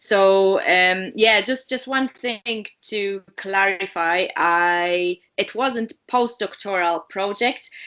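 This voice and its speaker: In a Polish accent, the bright, sharp tone moves at a very slow pace with hardly any pauses and ordinary pitch variation, on a very clean recording with a silent background. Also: woman, medium pitch for a woman. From Poland. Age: 30s. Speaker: diabetes educator and researcher. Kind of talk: interview. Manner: hesitant, many fillers.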